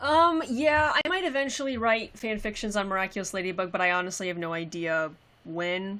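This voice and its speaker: Bright and sharp in tone, a woman with an American accent talks at a fairly quick pace and medium pitch, her voice making very wide pitch swings. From Texas. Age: 20s. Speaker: cosplayer. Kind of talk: livestream Q&A chat. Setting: live stream. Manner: casual, halting.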